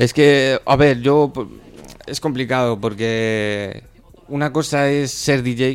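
The man's voice sits at a medium pitch and keeps a fairly even intonation. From Spain. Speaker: rapper. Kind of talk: casual chat. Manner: halting, repeated words.

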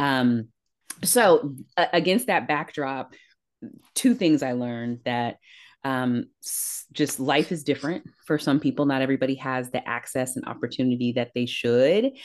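A woman with an American accent talks at a moderate pace and a very deep, low pitch. Her pitch varies in an ordinary way, and the background is quiet. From Northern California, East Palo Alto. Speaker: corporate diversity executive and leadership coach. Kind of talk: interview.

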